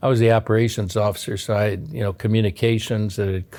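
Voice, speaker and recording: A man with an American accent speaks very fast in a fairly low, dark, mellow voice with fairly even intonation, on a very clean recording with a silent background. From Chicago, US Midwest. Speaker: retired navy submarine officer. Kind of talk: oral history interview. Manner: halting, many fillers.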